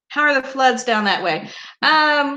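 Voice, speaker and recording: A woman with an Oklahoma accent, bright and sharp in tone, at a fairly slow pace with ordinary pitch variation. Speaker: YouTuber hosting a live stream. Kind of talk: casual live stream chat.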